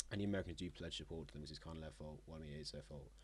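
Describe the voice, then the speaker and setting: With vocal fry and a very deep, low pitch, a man speaks using lively intonation. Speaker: map game commentator. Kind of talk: casual gameplay narration. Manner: halting.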